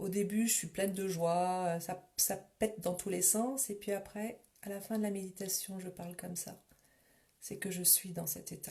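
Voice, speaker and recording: A soft-spoken woman's somewhat breathy voice, dark and mellow in tone, at a fairly slow pace with monotone, flat intonation. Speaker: meditation teacher. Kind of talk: guided meditation. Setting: Facebook live stream.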